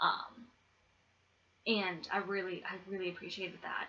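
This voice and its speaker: A soft-spoken woman with an American accent, at medium pitch and moderate pace, over noticeable background noise. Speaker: YouTuber, movie reviewer. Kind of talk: casual vlog review. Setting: at home, roommate asleep. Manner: soft-spoken, keeping voice down; hesitant, many ums.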